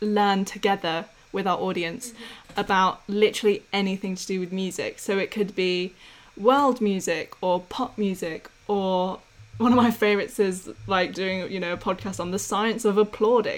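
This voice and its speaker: A woman with an English accent speaks at a moderate pace and a medium pitch. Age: 20s. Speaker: podcast co-host, music graduate and singer. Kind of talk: casual chat.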